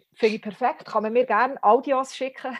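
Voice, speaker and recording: A woman speaks in a high voice. The background is quiet. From Switzerland, Bern (Bümpliz). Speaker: satirist and spoken-word author. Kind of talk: casual interview. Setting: remote call. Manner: very fast.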